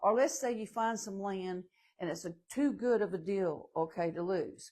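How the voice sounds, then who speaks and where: With a Southern US accent, a woman talks at a moderate pace in a dark, mellow tone with ordinary pitch variation. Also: medium pitch for a woman. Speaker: manufactured home salesperson. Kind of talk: live stream Q&A. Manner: casual, chatty.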